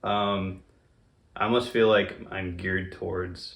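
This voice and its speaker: A man talks with a fairly low pitch and ordinary pitch variation, his voice showing vocal fry. Audible room echo surrounds him. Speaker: interview guest, friend of host. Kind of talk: casual interview chat. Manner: low cadence, little enunciation.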